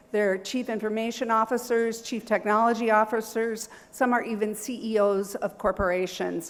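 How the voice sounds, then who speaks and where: A woman speaks at a moderate pace with hardly any pauses, in a fairly high pitch and a monotone, flat intonation. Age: 60s. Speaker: university professor. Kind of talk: seminar presentation. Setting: seminar hall with audience.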